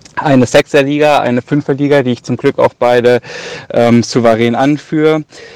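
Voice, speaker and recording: The sound is dry and close, with no echo, but noticeable background noise is present. A man speaks at a moderate pace. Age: 20s. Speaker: listener and fantasy football player. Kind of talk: recorded voice message.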